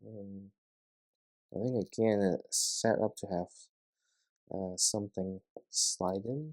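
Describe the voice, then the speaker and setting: Mumbling at a very slow pace with long, frequent pauses, the voice shows ordinary pitch variation in a dry, close sound with no echo. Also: man, fairly low pitch for a man. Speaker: LEGO vlogger. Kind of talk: casual building vlog commentary. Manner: halting, many fillers.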